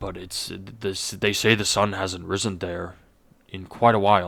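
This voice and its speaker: A man's raspy, put-on character voice, very deep and low, at a moderate pace with a monotone, flat intonation. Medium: actual play. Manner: measured, hesitant with filler words.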